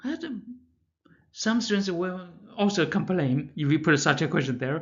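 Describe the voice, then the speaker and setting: A man with a Chinese accent and a high pitch speaks at a moderate pace, with audible room echo. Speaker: math professor. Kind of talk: lecture. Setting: pre-recorded lecture. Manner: halting, with many fillers and restarts.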